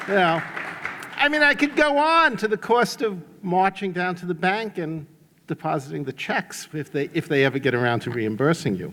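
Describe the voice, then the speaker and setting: With a New York accent, a man speaks at a high pitch and a moderate pace, his voice making very wide pitch swings over noticeable background noise. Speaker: economist. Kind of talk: conference talk.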